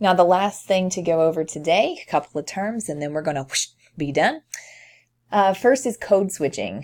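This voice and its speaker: Heard on a very clean recording with a silent background, a woman with an American accent speaks with big swings in loudness. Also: lively intonation, moderate pace. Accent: slight Tennessee accent when teaching. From US South, eastern Tennessee. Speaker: college instructor. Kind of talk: lecture. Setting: recorded screencast. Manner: somewhat formal.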